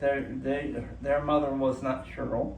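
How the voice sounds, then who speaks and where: The man speaks very slowly. His voice carries audible room echo. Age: 60s. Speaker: cancer patient vlogger. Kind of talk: casual vlog monologue. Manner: halting, many fillers and restarts.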